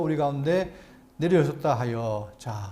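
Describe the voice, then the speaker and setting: A man's dark, mellow tone carries very wide pitch swings. He keeps a moderate pace, with audible room echo. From South Korea, Andong (Gyeongsang). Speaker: pastor. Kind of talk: Bible lecture. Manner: halting, stammering repeats.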